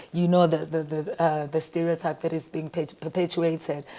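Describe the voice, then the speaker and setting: The recording is very clean and the background silent. A dark, mellow tone marks the voice. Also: woman. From South Africa. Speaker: singer and music producer. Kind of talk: interview answer.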